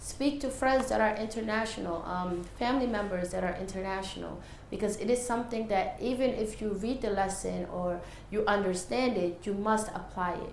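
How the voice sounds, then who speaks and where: In a room with audible echo and noticeable background noise, a woman talks at a moderate pace, her medium-pitched voice showing ordinary pitch variation. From Senegal, moved to New York at nine. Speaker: English teacher. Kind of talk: interview.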